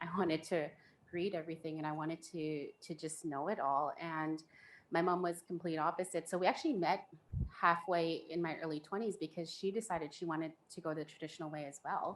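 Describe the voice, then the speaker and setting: Speaking at a fairly quick pace, a woman keeps a fairly low pitch and fairly even intonation. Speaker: panelist sharing faith story. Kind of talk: personal testimony in panel discussion.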